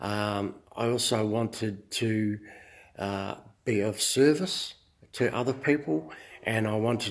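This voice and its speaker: Someone with an Australian accent speaks at a very slow pace. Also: man. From Australia, Queensland. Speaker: fitness instructor and self-help vlogger. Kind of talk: casual monologue. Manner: halting, many fillers.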